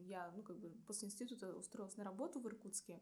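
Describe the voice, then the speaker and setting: A woman's medium-pitched voice, a plain, everyday voice, with ordinary pitch variation. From Irkutsk, Siberia, Russia. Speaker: civil engineer and stand-up comedian. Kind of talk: casual interview.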